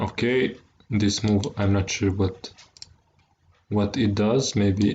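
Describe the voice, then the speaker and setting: A man with a non-native accent talks at a very slow pace, his fairly low voice keeping a fairly even intonation. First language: not English. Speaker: chess streamer. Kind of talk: live game commentary. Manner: halting, frequent word repetitions.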